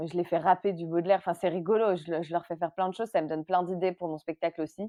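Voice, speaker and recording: Her pitch fairly low, a woman talks with fairly even intonation. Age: 30s. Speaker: actress and comedy writer. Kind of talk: interview conversation. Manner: hesitant, many repetitions and fillers.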